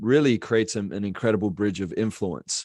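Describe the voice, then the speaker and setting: A man's fairly low voice over a quiet background. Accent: Australian. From Australia. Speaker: business coach and speaker. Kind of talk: casual interview.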